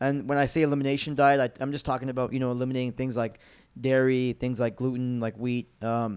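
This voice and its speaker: In a very clean recording with a silent background, a man talks at a very fast pace with a Montreal accent. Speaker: former MMA fighter turned comedian. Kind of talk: casual chat.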